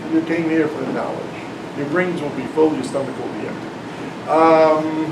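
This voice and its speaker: A man speaks at a fairly high pitch in a monotone, flat intonation. Audible room echo and noticeable background noise fill the recording. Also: moderate pace. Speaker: math professor and author giving a talk. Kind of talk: lecture. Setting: classroom talk with live audience. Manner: loud, yelling over air conditioner.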